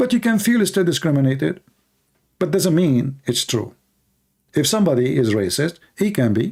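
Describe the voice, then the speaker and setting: A man talks at a fairly quick pace with very wide pitch swings. His voice is somewhat breathy. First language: not English. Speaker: religious debate streamer. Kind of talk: live stream debate with chat. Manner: animated.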